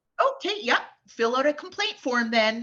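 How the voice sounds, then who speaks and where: A woman does a robotic put-on character voice at a high pitch. Her pitch swings very widely, and her pace is moderate. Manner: passive aggressive.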